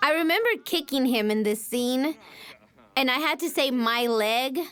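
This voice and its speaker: A high-pitched woman at a moderate pace, with very even loudness and ordinary pitch variation. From Houston, Texas, Mexican-American. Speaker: voice actress. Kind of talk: casual chat.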